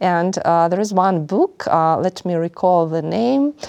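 Recorded dry and close with no echo, a woman with a Russian accent speaks in a fairly low pitch with ordinary pitch variation. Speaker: finance professor. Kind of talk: interview.

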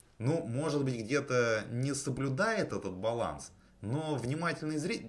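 With vocal fry and lively intonation, a man speaks at a fairly slow pace. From Russia, outside the capital. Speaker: film podcast host. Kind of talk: casual chat.

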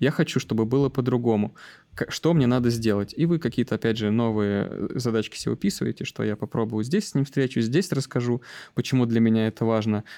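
On a very clean recording with a silent background and a dry, close sound with no echo, a man talks at a fairly quick pace in a dark, mellow tone. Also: medium pitch for a man, ordinary pitch variation. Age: 30s. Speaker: IT delivery manager. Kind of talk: interview podcast.

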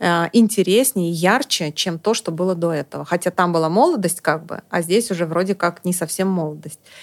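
With an ordinary speaking voice, a woman talks at a moderate pace and medium pitch with ordinary pitch variation, in a very clean recording with a silent background and a dry, close sound with no echo. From Estonia. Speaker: psychologist. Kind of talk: casual chat.

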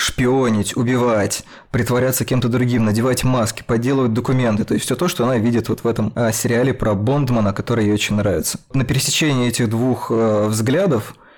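A man with an ordinary speaking voice talks at a fairly quick pace and medium pitch, with fairly even intonation and very even loudness. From Russia. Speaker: podcast host, film critic. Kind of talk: casual panel discussion.

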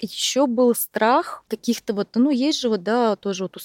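A woman's plain, everyday voice with lively intonation at a moderate pace, dry and close with no echo. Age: 30s. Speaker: entrepreneur, speech therapist. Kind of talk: personal testimony in interview.

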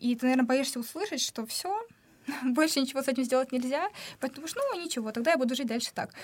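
A woman's high voice races at a very fast pace, its pitch varying in an ordinary way. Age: young. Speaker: former medical student. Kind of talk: casual chat. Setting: studio.

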